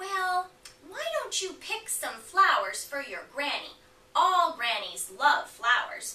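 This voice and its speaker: A put-on character voice, raised and projected, with very wide pitch swings at a fairly slow pace. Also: woman, extremely high pitch for a woman. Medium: read story. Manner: smooth, coaxing.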